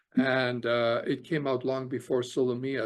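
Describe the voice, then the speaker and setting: Speaking at a fairly slow pace with a Canadian accent, a man holds a medium pitch in a monotone, flat intonation. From Canada (Alberta). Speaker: author and immigration lawyer. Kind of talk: interview conversation. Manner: hesitant, many fillers.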